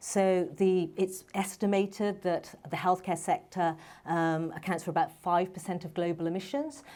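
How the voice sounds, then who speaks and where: A woman's fairly low voice with a dark, mellow tone and fairly even intonation. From London, England. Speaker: medical doctor and startup founder. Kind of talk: panel talk. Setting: stage with audience.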